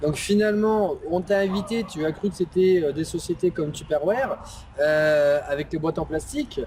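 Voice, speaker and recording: This man's voice is high in pitch, moving at a moderate pace with ordinary pitch variation while noticeable noise sounds behind him. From Bordeaux, France. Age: 30s. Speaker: interviewer, online entrepreneur. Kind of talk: interview. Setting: outdoors by a lake. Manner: hesitant, many fillers.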